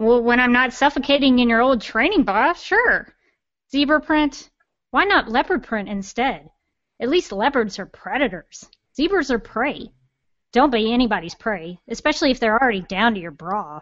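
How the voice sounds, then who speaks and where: A female-sounding put-on character voice, high-pitched and nasal, moves at a moderate pace. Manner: sarcastic, sassy, teasing.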